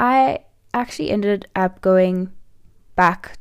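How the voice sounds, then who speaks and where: A woman speaks at a medium pitch with a South African accent. Her intonation stays fairly even. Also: very clean recording, silent background. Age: 20s. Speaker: life coach and podcast host. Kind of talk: personal story monologue.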